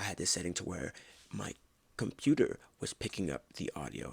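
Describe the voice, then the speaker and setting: A man whispers at a very fast pace. Vocal fry runs through his voice. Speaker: podcast host. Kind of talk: casual monologue. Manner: almost whispering; halting, filler words.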